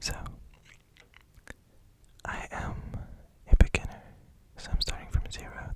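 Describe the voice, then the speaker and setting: Someone whispers over noticeable background noise. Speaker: ASMR artist. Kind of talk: ASMR whispered introduction talk. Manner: whispered.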